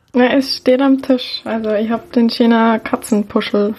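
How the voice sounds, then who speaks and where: Against noticeable background noise, a woman speaks with monotone, flat intonation. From Lower Bavaria, Germany. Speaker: baking blogger and podcaster. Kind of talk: casual chat.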